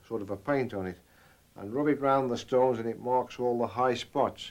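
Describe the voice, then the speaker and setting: Speaking at a moderate pace, a man with an English accent has a medium-pitched voice. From England. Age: 60s. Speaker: millwright. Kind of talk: documentary interview, explaining craft.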